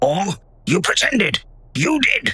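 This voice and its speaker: A man performs a raspy, high-pitched put-on character voice. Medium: audio drama. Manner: stern, accusing.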